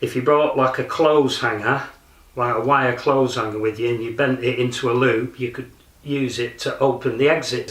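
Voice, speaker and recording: A man with a Lancashire accent talks at a moderate pace and medium pitch. His intonation is fairly even, and there is noticeable background noise. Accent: northern English, Lancashire. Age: 60s. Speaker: martial arts practitioner. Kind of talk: documentary interview. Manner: hesitant, with fillers.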